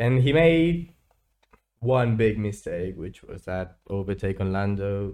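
In a very clean recording with a silent background, a man speaks very slowly with a dark, mellow tone at a fairly low pitch. His intonation is lively and his loudness swings widely. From Spain. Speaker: student podcast co-host. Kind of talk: casual chat.

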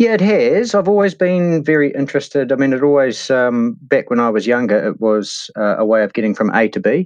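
With a New Zealand accent, a man speaks at a fairly quick pace in a fairly high pitch, with very wide pitch swings and very even loudness. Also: hardly any pauses. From New Zealand, Hawke's Bay. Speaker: mountain bike hire and tour operator. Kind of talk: interview. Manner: halting.

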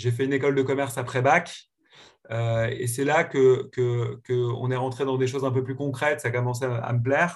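Somewhat breathy and monotone with flat intonation, a man talks at a moderate pace and a medium pitch. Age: 30s. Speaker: serial tech entrepreneur. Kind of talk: podcast interview. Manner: hesitant with frequent repetitions.

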